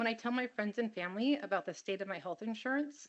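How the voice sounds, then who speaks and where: With an American accent, a woman speaks at a fairly quick pace with lively intonation. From California, Monterey County. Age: 50s. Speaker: teacher giving public comment. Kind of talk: public comment testimony. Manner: earnest, pleading.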